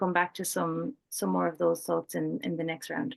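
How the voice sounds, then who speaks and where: The pace is fairly quick. The speaker has an Irish accent. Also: woman. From Ireland. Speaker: peace researcher and programme coordinator. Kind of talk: panel discussion.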